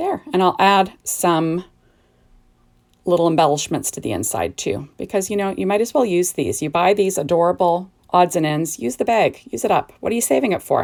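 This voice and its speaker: On a very clean recording with a silent background, a woman with a fairly low pitch and vocal fry speaks at a moderate pace with lively intonation. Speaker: card-making crafter. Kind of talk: crafting tutorial. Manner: casual, chatty.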